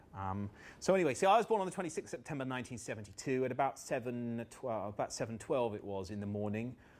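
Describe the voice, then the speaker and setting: A man speaks at a very fast pace with lively intonation and medium pitch. The recording is very clean, with a silent background. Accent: southern English. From southern England, Buckinghamshire. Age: 40s. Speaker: motivational trainer. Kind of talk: workshop talk. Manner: animated.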